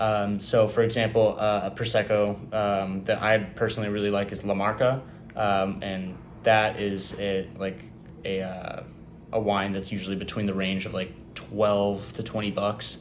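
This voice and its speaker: With a Californian accent, a man speaks at a moderate pace in a fairly low pitch with monotone, flat intonation, and audible room echo. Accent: General American (Californian). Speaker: student. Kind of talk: class presentation. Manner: halting, many fillers.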